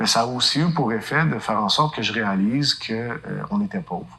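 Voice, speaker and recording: A man talks with ordinary pitch variation. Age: 40s. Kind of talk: testimony. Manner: hesitant fillers.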